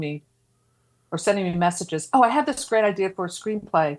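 The speaker has a Philadelphia accent and talks at a fairly quick pace with lively intonation. The recording is very clean, with a silent background. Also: woman. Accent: Philadelphia American. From Philadelphia area, US. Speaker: podcast host and horror zine editor. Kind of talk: casual chat.

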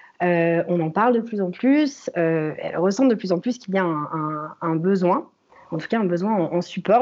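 A woman talks at a fairly slow pace, her fairly low pitch showing ordinary pitch variation. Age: 20s. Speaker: freelance UX researcher. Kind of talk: interview. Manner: halting, many repetitions and fillers.

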